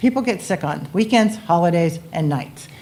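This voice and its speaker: Fairly low pitch from a woman, with noticeable background noise. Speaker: benefits consultant. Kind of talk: sales pitch.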